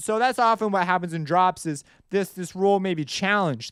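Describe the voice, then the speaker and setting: Loud and at a moderate pace, a man speaks with ordinary pitch variation on a very clean recording with a silent background. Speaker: music composition teacher. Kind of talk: tutorial.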